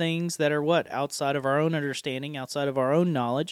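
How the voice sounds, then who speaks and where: In an Appalachian accent, a man speaks at a fairly high pitch with monotone, flat intonation, in dry, close sound with no echo on a very clean recording with a silent background. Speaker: podcast host and preacher. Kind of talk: casual chat about scripture. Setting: studio. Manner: jovial, laughs often.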